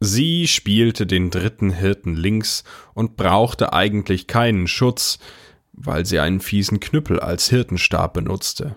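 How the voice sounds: On a very clean recording with a silent background, a man speaks slowly at a fairly low pitch, his fairly bright tone carrying lively intonation.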